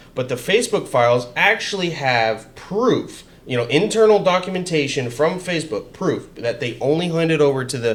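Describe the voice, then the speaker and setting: Loud and fairly high for a man, his voice swings very widely in pitch at a moderate pace with hardly any pauses, over noticeable background noise. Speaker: political podcast host. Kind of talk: casual chat. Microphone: XLR mic, echo issues.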